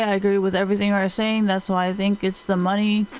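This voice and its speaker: This is a woman talking at a fairly quick pace. Her pitch is medium. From Taiwan. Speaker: livestreamer. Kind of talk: casual livestream chat. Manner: casual, halting.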